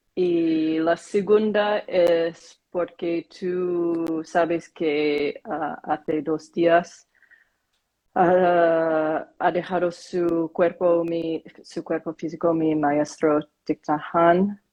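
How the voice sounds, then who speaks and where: With a Korean accent, a woman talks at a very slow pace in a fairly low pitch. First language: Korean (speaking Spanish). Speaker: meditation practitioner. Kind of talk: casual chat. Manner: halting.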